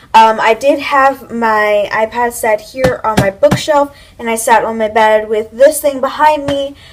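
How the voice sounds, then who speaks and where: Amid noticeable background noise, a woman with a fairly high pitch speaks with hardly any pauses and fairly even intonation. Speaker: YouTuber giving tips. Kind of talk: casual vlog talk to camera. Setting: home, filming with iPad camera. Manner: loud, projected voice; casual, filler-heavy.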